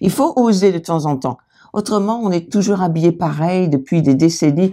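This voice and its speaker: A woman with a fairly low pitch speaks at a moderate pace in a dark, mellow tone with lively intonation. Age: 60s. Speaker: author, video co-host. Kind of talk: casual fashion chat.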